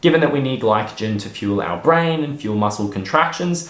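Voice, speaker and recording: This man speaks with an Australian accent and lively intonation. His pace is moderate, with noticeable background noise. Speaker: personal trainer and sports nutritionist. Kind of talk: educational fitness talk to camera.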